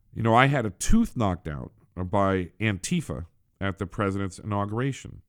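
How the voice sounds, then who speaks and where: Over a silent background in a very clean recording, a man with an unremarkable speaking voice talks at a moderate pace, fairly low in pitch with lively intonation. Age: 50s. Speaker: political podcast host. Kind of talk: casual monologue. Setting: small office.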